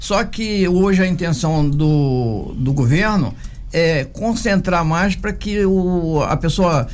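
Audible room echo surrounds a man's high-pitched voice. His pitch varies an ordinary amount. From Brazil, Angra dos Reis coast (Rio de Janeiro state). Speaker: city councillor. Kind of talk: radio interview.

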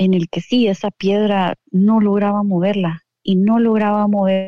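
This is a woman's voice. Her pitch is medium. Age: 40s. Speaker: entrepreneur. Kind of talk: interview. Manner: halting.

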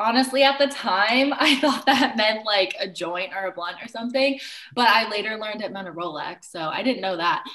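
A woman's fairly high, lively voice at a moderate pace, a normal speaking voice. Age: 30s. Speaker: loctician. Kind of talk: casual chat.

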